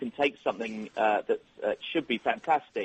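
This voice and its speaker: The man's speech moves at a moderate speed. He has an English accent. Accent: English accent, retained. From England (London). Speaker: software company executive. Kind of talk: radio interview. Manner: hesitant, many fillers.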